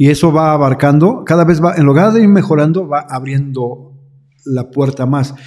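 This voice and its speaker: With ordinary pitch variation, a man talks at a moderate tempo in a fairly high register. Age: 60s. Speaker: pastor. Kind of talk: interview. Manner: halting.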